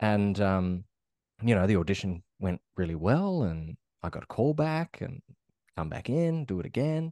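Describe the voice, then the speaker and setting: With an Australian accent, the speaker uses very wide pitch swings and a dark, mellow tone at a moderate pace, in a dry, close sound with no echo over a quiet background. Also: man, fairly low pitch for a man. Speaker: actor. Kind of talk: interview. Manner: halting.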